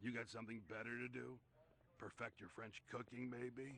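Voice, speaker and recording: A raspy put-on character voice from a man, medium in pitch and monotone with flat intonation, at a moderate pace against clear background noise. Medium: video game. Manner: gruff, sarcastic.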